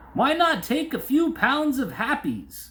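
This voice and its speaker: Putting on a character voice, a man speaks extremely high at a fairly slow pace. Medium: read story. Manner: hearty barker-style pitch.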